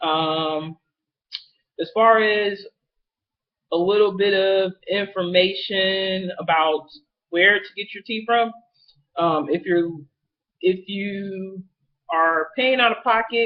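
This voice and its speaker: Very slow and marked by long, frequent pauses, a man speaks at a high pitch. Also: ordinary pitch variation. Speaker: vlogger. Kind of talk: casual vlog. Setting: webcam recording. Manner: many fillers, um-heavy.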